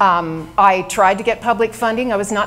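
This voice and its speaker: There is audible room echo as a woman talks at a moderate pace. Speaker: mayoral candidate. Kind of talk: candidate opening statement at a forum. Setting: stage with audience.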